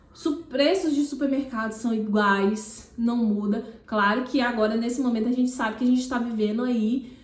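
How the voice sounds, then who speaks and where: This woman's voice is high, with ordinary pitch variation. Audible room echo surrounds it. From Piauí, Northeast Brazil. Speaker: makeup artist and YouTuber. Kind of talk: casual vlog talk to camera. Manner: halting, many restarts and fillers.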